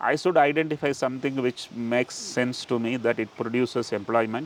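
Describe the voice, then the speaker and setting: This man has an ordinary speaking voice, medium pitch and ordinary pitch variation, talking at a moderate pace in a dry, close sound with no echo. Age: 60s. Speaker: entrepreneur. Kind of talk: interview.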